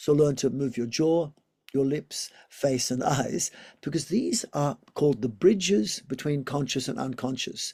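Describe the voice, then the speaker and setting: With an Australian accent, a man talks at a moderate pace and fairly high pitch, his somewhat breathy voice dark and mellow, with ordinary pitch variation. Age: 60s. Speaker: yoga teacher and physiotherapist. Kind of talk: interview.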